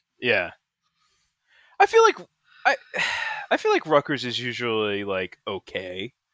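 A man at a fairly slow pace with long, frequent pauses, in a dry, close sound with no echo. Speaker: podcast co-host. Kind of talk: casual banter, angry sports rant. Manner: ranting, profane, animated.

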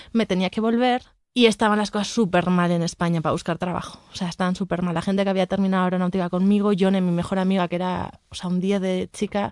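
Speaking at a fairly quick pace with a normal speaking voice, a woman keeps a medium pitch and fairly even intonation. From Basque Country, Spain. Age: 30s. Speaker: real estate investment director and painter. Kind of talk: casual interview.

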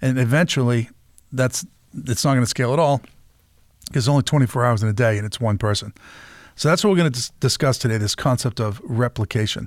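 Over a silent background in a very clean recording, a man with a medium-pitched voice talks at a very fast pace, with long, frequent pauses and ordinary pitch variation. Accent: Boston. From Massachusetts. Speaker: podcast host. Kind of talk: interview conversation.

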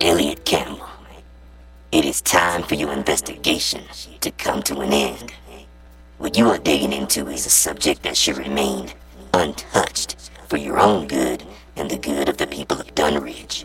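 A man speaks with a raspy, very deep, low pitch at a moderate pace. Long, frequent pauses break his speech, and clear background noise is present. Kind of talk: audio drama. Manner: cold, menacing, commanding.

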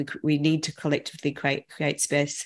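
A woman's very deep, low voice at a fairly quick pace, in a monotone, flat intonation. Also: quiet background. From grew up in Africa. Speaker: author and creativity educator. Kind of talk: casual chat.

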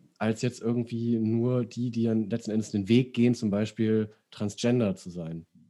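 At a moderate pace, a man speaks at medium pitch with a dark, mellow tone over a quiet background. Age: 30s. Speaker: podcast host. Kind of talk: casual chat.

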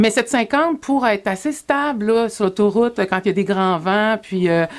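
Lively intonation carries an unremarkable speaking voice along at a fairly slow pace. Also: woman. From Quebec, Sorel-Tracy. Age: 40s. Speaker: motorcycle adventurer and speaker. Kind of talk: interview.

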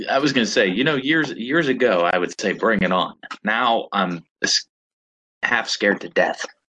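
A man's medium-pitched voice with an American accent, bright and sharp in tone, with lively intonation, a moderate pace and long, frequent pauses. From Pittsburgh, western Pennsylvania. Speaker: podcast co-host. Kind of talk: casual chat.

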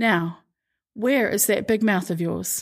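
In a very clean recording with a silent background, a woman speaks at a medium pitch with fairly even intonation in an unremarkable speaking voice. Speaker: podcast host reading scripture. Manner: measured, steady narrator pace with expressive shifts into quoted dialogue; formal, reverent tone.

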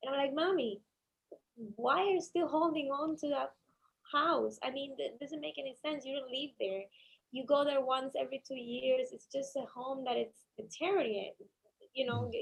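At a moderate pace, the speaker talks in a Cuban accent with ordinary pitch variation. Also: woman, high pitch for a woman. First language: Spanish. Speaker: attorney. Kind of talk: interview. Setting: studio.

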